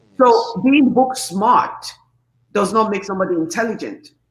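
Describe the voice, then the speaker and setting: The speaker has a Nigerian accent and an animated tone. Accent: Nigerian English, deliberately kept. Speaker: talk show host. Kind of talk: casual interview chat.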